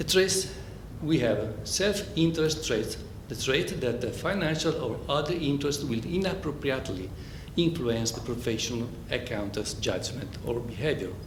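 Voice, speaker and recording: With an Italian accent, a man talks at a moderate pace in a fairly high pitch and lively intonation, with audible room echo and noticeable background noise. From Italy. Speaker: accountant. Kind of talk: conference presentation. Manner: halting, with many fillers.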